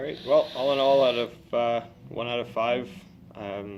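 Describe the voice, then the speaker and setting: A man talks at a moderate pace over music playing in the background. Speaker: vape juice reviewer. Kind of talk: product review chat. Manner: hesitant, many fillers.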